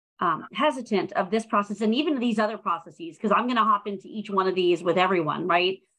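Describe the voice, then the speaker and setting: An ordinary speaking voice from a woman, fairly quick in pace, lively in intonation, over a quiet background. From Prince George's County, Maryland; Maryland. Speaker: nonprofit public relations specialist; program host. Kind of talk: live-streamed panel discussion. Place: home room. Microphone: video call.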